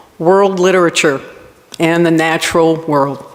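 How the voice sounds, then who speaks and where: A woman with a Rhode Island accent speaks at a fairly low pitch in a monotone, flat intonation. Noticeable background noise is present. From Rhode Island, US. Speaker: college campus director. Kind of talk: award acceptance speech.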